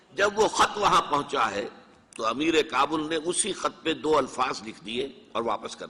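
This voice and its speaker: The speaker is a man whose voice sits fairly high in pitch. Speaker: Islamic scholar. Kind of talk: religious lecture.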